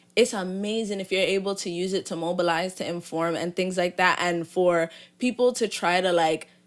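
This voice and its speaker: On a very clean recording with a silent background, a woman speaks at a moderate pace. She has a New York accent and a medium pitch. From New York City, Flatbush, Brooklyn. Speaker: influencer and R&B singer-songwriter. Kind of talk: podcast interview.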